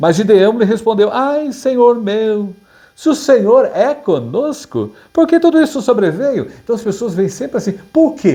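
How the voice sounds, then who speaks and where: A man's voice sits at a high pitch with a dark, mellow tone. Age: 60s. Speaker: pastor. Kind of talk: sermon. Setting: online Bible class video. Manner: halting.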